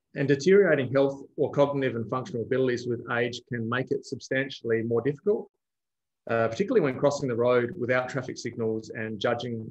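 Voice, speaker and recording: Against a quiet background, a man with an Australian accent talks at a very fast pace. His pitch is medium, with ordinary variation. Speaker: road safety researcher; presenter. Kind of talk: webinar presentation. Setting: video call. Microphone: video call.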